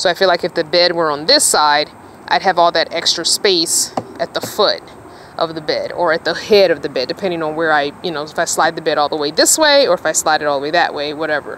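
Over light background noise, a woman talks at a very fast pace with a fairly low pitch and ordinary pitch variation, the sound dry with no echo. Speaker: van dweller vlogger. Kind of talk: casual vlog chat. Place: car. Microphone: phone near.

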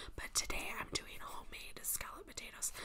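Whispering from a woman. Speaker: ASMR creator. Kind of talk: ASMR whisper-style talk to camera with air tracing. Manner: casual, chatty, friendly. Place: home room. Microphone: phone near.

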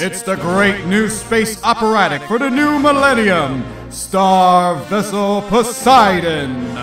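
Music plays in the background as a man speaks at a very slow pace with hardly any pauses. His high voice moves in very wide pitch swings. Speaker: voice actor. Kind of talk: movie trailer announcer read.

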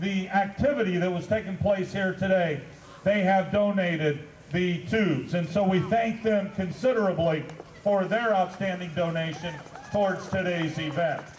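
A man with a high pitch speaks at a moderate pace, using ordinary pitch variation. The room echo is audible and there is light background noise. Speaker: event host. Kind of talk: event announcement. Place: open country.

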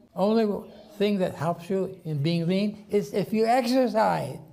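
A man speaks with a dark, mellow tone. His pitch varies in an ordinary way. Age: 80s+. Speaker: nutritionist and physician, longevity expert. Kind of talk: lecture to an audience. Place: hall.

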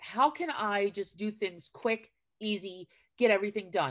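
Someone with an American accent speaks at a moderate pace with ordinary pitch variation and big swings in loudness against a quiet background. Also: woman. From New Jersey. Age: 40s. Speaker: retired teacher and school garden educator; retired teacher, school garden educator. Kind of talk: casual chat. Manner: talkative. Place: home room. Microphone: video call.

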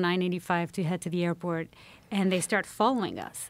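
A woman's voice, dry, with no echo. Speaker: podcast guest, journalist. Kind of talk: interview answer, storytelling. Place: studio. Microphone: studio mic.

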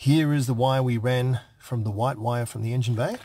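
The voice is somewhat breathy and moves at a moderate pace. The sound is dry, with no echo. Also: man. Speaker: car hobbyist vlogger. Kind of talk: tutorial. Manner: casual, chatty. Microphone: phone near.

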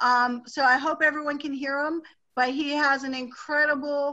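Over a quiet background, a woman speaks in a high, bright, sharp, raised and projected voice. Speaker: host interviewing a product user. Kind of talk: host of a group call. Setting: phone line. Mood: enthusiastic, upbeat. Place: home room. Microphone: webcam.

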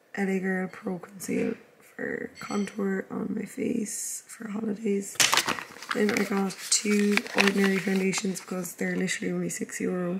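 With monotone, flat intonation, a woman speaks over noticeable background noise. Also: medium pitch for a woman, moderate pace. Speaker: vlogger and fitness coach. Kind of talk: casual vlog.

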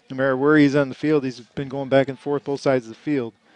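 The man's voice sounds dry, with no echo. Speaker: sports commentator. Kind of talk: live play-by-play sports commentary. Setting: high school stadium broadcast booth. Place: stadium.

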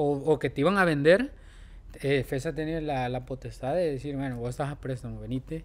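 This man has an unremarkable speaking voice, pitched fairly high, moving at a fairly quick pace with fairly even intonation. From El Salvador, San Salvador. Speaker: professional footballer; podcast guest. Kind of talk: casual chat; interview answer. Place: studio. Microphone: studio mic.

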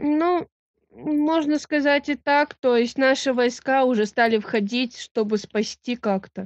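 A woman with a high pitch speaks at a very slow pace, her pitch varying an ordinary amount. The sound is dry with no echo, over a quiet background. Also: very even loudness. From Russian Far East; Russia. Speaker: railway worker. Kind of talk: casual chat. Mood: hesitant, unsure. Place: home room. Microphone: video call.

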